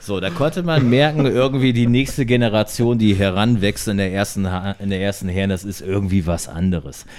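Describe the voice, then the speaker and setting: A man with a plain, everyday voice speaks at a fairly quick pace, his fairly low pitch carried by lively intonation. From northern Germany, Delmenhorst. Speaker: former handball player. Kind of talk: casual chat. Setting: at a home, recorded over beer.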